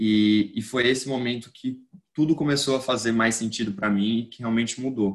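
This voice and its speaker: A man speaks in a plain, everyday voice at a medium pitch and moderate pace. His intonation stays fairly even. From Brazil. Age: 20s. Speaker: newsletter founder and student. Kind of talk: casual interview.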